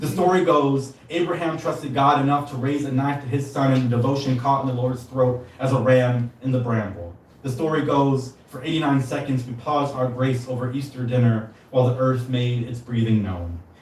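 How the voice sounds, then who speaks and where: Amid noticeable background noise and audible room echo, a man with a medium pitch speaks at a moderate pace with ordinary pitch variation and hardly any pauses. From San Diego, California. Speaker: poet. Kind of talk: poetry reading. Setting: stage with audience.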